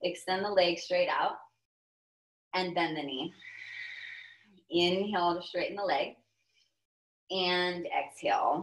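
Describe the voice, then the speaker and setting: The delivery is fairly slow, with fairly even intonation. Long pauses come often. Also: woman, fairly low pitch for a woman. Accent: American. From Texas. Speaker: yoga teacher. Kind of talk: guided yoga class instruction. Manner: calm, paced cues timed to breath.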